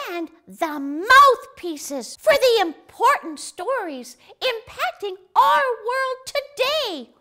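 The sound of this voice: In a put-on character voice, the speaker goes very slowly at an extremely high pitch with very wide pitch swings.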